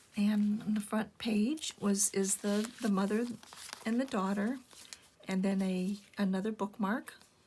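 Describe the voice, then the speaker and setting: Over noticeable background noise, a woman of medium pitch speaks fairly slowly and with fairly even intonation, leaving long, frequent pauses. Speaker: junk journal maker. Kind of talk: casual craft show-and-tell narration. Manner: low-energy; hesitant, many filler words.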